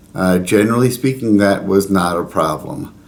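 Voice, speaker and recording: A man speaks with an unremarkable speaking voice. His pace is moderate. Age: 60s. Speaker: pilgrim vlogger. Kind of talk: casual talk to camera. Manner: conversational with fillers.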